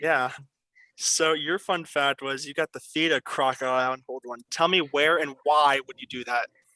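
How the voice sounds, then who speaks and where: Bright, sharp-toned male voice in a Pennsylvania accent, moderate pace, fairly even intonation, and a dry, close sound with no echo. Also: fairly high pitch for a man. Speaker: quiz show host. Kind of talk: game show hosting. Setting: video call.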